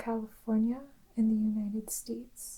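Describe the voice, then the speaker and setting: Soft-spoken and calm in tone, the voice moves at a fairly slow pace. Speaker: ASMR creator. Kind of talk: soft-spoken descriptive narration. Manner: slow, calm.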